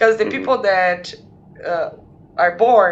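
A woman talks at a moderate pace in a Portuguese accent. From Brazil, São Paulo. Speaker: podcast guest. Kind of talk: casual chat.

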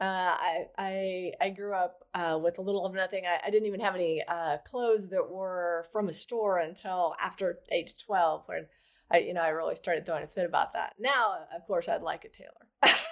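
A woman speaks in a plain, everyday voice at a medium pitch and a moderate pace. Her intonation is fairly even, and the recording is very clean with a silent background. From rural Oklahoma. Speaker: adoption and surrogacy attorney. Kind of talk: casual interview chat.

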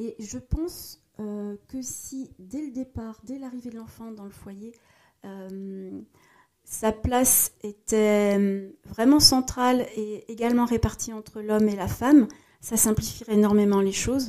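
At a very slow pace, a woman speaks in a dark, mellow tone at a fairly high pitch with fairly even intonation and big swings in loudness. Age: 40s. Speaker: corporate social responsibility professional. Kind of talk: casual interview. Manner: hesitant, many fillers.

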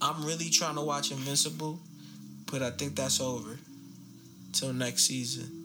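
Pausing long and often, a man at medium pitch speaks at a moderate pace with ordinary pitch variation, amid noticeable background noise and audible room echo. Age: 30s. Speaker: podcast co-host. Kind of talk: casual chat.

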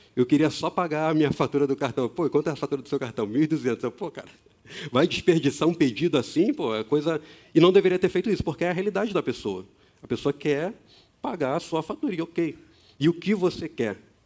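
A man speaks in an unremarkable speaking voice, pitched fairly high. His intonation is lively and his pace fairly quick. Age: 30s. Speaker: youth ministry coordinator, preacher. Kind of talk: sermon. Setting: church auditorium with audience, streamed online.

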